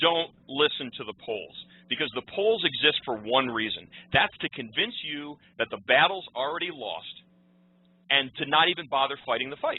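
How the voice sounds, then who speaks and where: A man at a moderate pace, with lively intonation. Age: 30s. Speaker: political commentator. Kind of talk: radio interview. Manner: halting, many repetitions.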